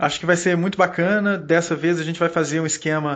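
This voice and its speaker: A man with a Minas Gerais accent and fairly even intonation. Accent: Minas Gerais (mineiro). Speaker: podcast host. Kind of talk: casual podcast chat.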